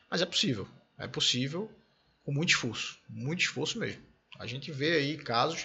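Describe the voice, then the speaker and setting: A man at a moderate pace, with lively intonation, vocal fry and long, frequent pauses. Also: fairly high pitch for a man. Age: 30s. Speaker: podcast host. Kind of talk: casual interview.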